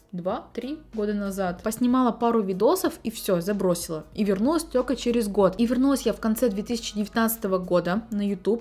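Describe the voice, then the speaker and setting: Over faint background music, a woman with a fairly high, somewhat breathy voice and a dark, mellow tone talks at a moderate pace with ordinary pitch variation and hardly any pauses. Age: 20s. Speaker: beauty vlogger. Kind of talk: vlog Q&A monologue. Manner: casual, chatty. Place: home room.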